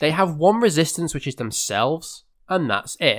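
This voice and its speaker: This is a man speaking with an English accent. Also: very clean recording, silent background. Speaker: gaming YouTuber. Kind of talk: scripted video essay.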